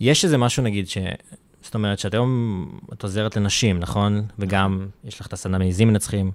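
On a very clean recording with a silent background, a man with a fairly low pitch speaks at a fairly quick pace in a plain, everyday voice, with fairly even intonation and big swings in loudness. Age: 20s. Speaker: podcast host. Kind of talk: interview.

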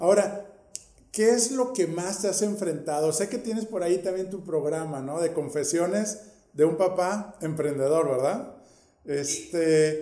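Amid audible room echo, a man talks at a fairly slow pace in a high pitch with ordinary pitch variation. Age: 50s. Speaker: podcast host. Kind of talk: interview.

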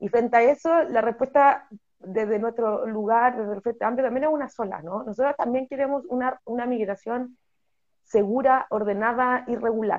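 Her pitch is high, and she shows ordinary pitch variation. The woman keeps a moderate pace. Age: 30s. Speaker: politician, parliamentary candidate. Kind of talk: interview.

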